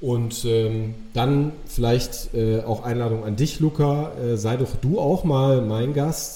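Over noticeable background noise, a man talks at a very slow pace in a medium pitch with ordinary pitch variation. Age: 40s. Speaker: podcast guest, coach. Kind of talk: casual interview conversation.

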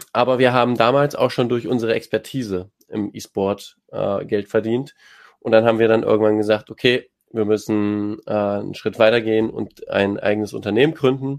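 A man with an ordinary speaking voice at medium pitch, moderate pace and fairly even intonation, against a quiet background. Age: 20s. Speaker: esports team manager and agency co-founder. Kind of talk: panel discussion. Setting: online audio space.

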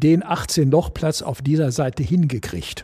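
Speaking very slowly, a man with a dark, mellow tone sounds somewhat breathy, his fairly high pitch varying in an ordinary way. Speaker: former golf club board member. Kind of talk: panel discussion. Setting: clubhouse.

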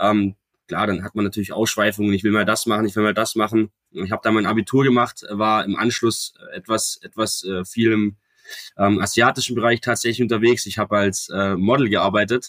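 In a dry, close sound with no echo, a man speaks at a fairly quick pace with fairly even intonation. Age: 20s. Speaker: real estate agent and company co-founder. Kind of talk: podcast interview.

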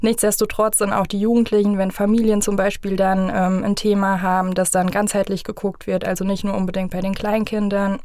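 With monotone, flat intonation, a woman at medium pitch talks at a fairly quick pace. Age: 30s. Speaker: family coach. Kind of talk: interview.

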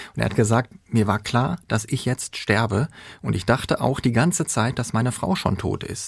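A man talks at a moderate pace and medium pitch with vocal fry. The recording is very clean, with a silent background. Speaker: court reporter. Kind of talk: true-crime narration, casual explanation.

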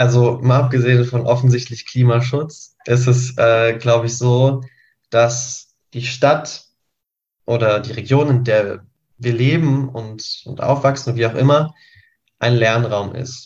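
A man speaks at a very slow pace and medium pitch. His voice is somewhat breathy, with monotone, flat intonation. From Lower Saxony, Göttingen. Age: 20s. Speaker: climate activist and planning student. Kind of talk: panel discussion.

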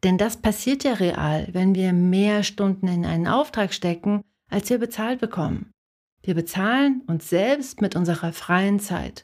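A normal speaking voice at a fairly slow pace, very even loudness and ordinary pitch variation, on a very clean recording with a silent background. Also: woman, medium pitch for a woman. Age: 40s. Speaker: podcast host and designer/illustrator coaching creatives. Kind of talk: solo podcast monologue.

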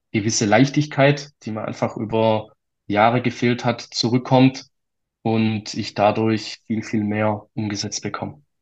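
Speaking fairly slowly in a Swabian accent, a man with a medium pitch is heard over a quiet background. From Swabia, Germany. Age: 20s. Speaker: financial planning entrepreneur. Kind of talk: interview storytelling.

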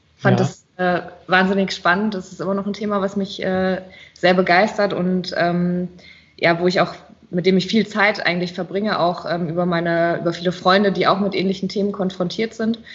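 A woman speaks at a moderate pace with a medium pitch and a somewhat breathy quality. Her intonation stays monotone and flat. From Rheinhessen, Germany. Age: 30s. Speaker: winemaker. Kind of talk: interview. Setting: video call.

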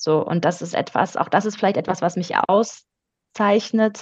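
Speaking fairly quickly, a woman with a somewhat breathy, medium-pitched voice keeps her intonation fairly even. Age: 30s. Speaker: business culture consultant. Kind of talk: interview.

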